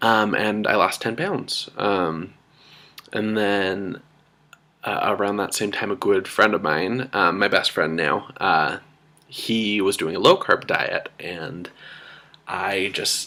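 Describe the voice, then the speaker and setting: A man talks at a very slow pace in a fairly low pitch. His pitch variation is ordinary. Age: 20s. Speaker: weight loss vlogger, university student. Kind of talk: personal video diary. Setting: at home in apartment. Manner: hesitant, many filler ums.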